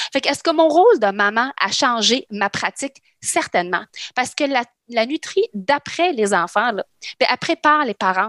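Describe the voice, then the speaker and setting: A woman speaks in an unremarkable speaking voice at a fairly high pitch. Her pace is moderate and her intonation lively. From Lebanon, then Quebec from childhood. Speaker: nutritionist. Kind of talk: casual chat.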